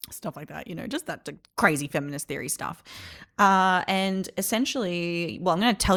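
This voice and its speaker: In a very clean recording with a silent background, a woman's fairly low voice carries lively intonation. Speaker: podcast host. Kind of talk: casual monologue. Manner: fast.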